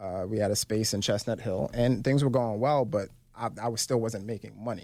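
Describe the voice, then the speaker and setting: A man with an unremarkable speaking voice uses a fairly low pitch and talks at a fairly quick pace. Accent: American. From Brooklyn, New York (Flatbush). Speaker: financial professional and podcast host. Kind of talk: interview. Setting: studio.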